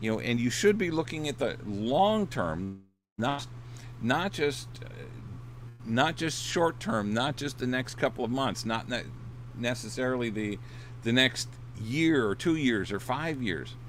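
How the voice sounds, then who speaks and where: Pausing long and often, a man with an American accent speaks at a fairly slow pace and a medium pitch, with lively intonation and vocal fry. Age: 60s. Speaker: dating coach and author. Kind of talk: casual livestream talk. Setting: in his RV. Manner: hesitant, many repeated words and fillers.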